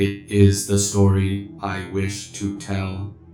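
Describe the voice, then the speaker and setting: A man puts on a character voice and speaks very slowly. Clear background noise is audible. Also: fairly low pitch for a man. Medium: read story. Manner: flat, mechanical.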